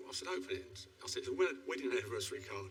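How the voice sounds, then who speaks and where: A man talking at a very fast pace, with audible room echo and music in the background. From East End of London. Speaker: retired IT worker, audience member. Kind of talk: anecdote told to studio audience.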